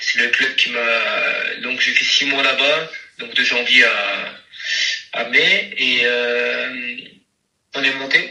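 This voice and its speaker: In a room with audible echo, a man speaks at a very slow pace with long, frequent pauses. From south-west France, Landes. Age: 20s. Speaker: professional footballer. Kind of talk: interview. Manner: halting, many fillers and repetitions.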